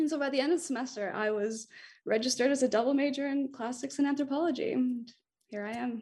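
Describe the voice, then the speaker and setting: At a very fast pace, a woman speaks in a high pitch. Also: ordinary pitch variation, quiet background. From Montreal, Quebec. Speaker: graduate student. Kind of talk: casual interview. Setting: recording studio.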